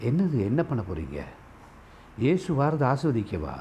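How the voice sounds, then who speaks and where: A man with a fairly high pitch lets his voice range through very wide pitch swings. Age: 50s. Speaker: pastor. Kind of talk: sermon.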